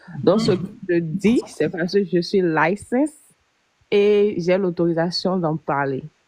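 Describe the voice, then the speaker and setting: A woman at a very slow pace, medium in pitch, with ordinary pitch variation. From Benin. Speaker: life insurance agent. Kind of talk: live stream explanation. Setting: live stream.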